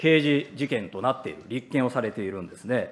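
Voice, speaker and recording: A man talks at a fairly quick pace, his pitch swinging very widely. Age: 40s. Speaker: opposition politician. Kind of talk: parliamentary questioning. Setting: parliament committee room. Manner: formal. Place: hall. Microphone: podium.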